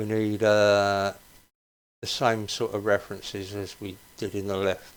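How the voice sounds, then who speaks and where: A man at a fairly low pitch and a fairly slow pace, on a very clean recording with a silent background. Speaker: coding tutorial host. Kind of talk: tutorial. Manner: casual.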